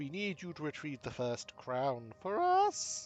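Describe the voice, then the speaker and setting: A man's put-on character voice, high in pitch and fairly slow, over faint background music. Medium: game stream. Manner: aloof, condescending, speaks as "we".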